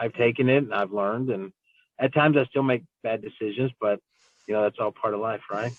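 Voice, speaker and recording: With an American accent, a man talks at a fairly quick pace using fairly even intonation. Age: 40s. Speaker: city council member. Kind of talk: interview. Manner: casual, with many fillers.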